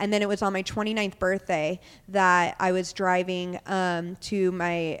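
In a very clean recording with a silent background, a woman with an American accent speaks at a medium pitch in a monotone, flat way. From Tacoma, Washington. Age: 30s. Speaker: sobriety coach. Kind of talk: interview about life story. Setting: in a bar.

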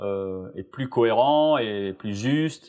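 This man's pitch swings very widely as he speaks. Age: 40s. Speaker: performance coach. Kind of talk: interview.

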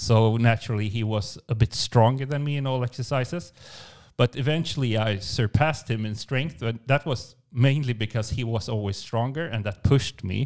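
A man talks in a plain, everyday voice at medium pitch on a very clean recording with a silent background. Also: ordinary pitch variation, moderate pace. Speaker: podcast co-host. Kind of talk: casual podcast chat. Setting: studio, in the same room.

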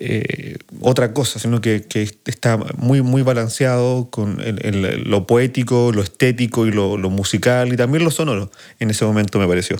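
With a plain, everyday voice, a man speaks at a moderate pace and medium pitch, with ordinary pitch variation, on a very clean recording with a silent background. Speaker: podcast host and music producer. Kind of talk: casual chat.

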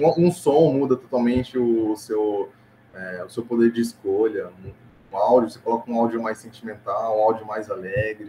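A man speaks at a moderate pace with ordinary pitch variation in a normal speaking voice. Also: medium pitch for a man. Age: 20s. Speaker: digital ads manager. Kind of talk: casual interview.

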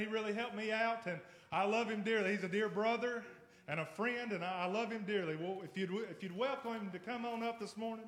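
Fast-paced speech with fairly even intonation plays over noticeable background noise. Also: man. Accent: Southern US. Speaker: pastor. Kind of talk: sermon. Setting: church.

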